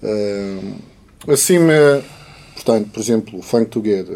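A man's dark, mellow voice at a very slow pace. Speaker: musician. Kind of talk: casual chat. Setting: studio.

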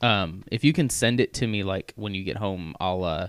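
A man with an ordinary speaking voice and an American accent talks at a moderate pace with a fairly low pitch, on a very clean recording with a silent background. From US Midwest, Missouri. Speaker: podcast co-host. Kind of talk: casual chat.

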